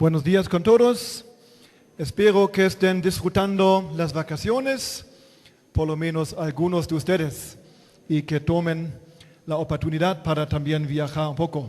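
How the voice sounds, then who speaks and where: A man with a German accent speaks at a fairly high pitch and a fairly slow pace, with ordinary pitch variation. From Germany. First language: German (speaking Spanish). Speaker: pastor. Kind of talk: sermon. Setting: church.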